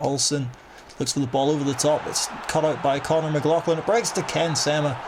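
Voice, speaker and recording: Speaking at a fairly quick pace, a man with a fairly high pitch is heard over noticeable background noise and audible room echo. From Northern Ireland. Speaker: gaming youtuber. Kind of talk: gameplay commentary. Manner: animated.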